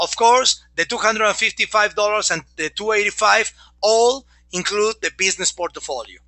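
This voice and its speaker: A man with a Mexican accent speaks at a moderate pace, his pitch high with ordinary pitch variation. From Mexico. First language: Spanish. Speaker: network marketing presenter. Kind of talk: sales pitch. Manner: animated.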